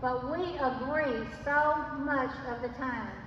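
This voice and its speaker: A woman speaks amid noticeable background noise. Room echo is audible too. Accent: Arkansas. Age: 80s+. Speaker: retired teacher and former state legislator. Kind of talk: political rally speech. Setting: addressing a live crowd. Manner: impassioned.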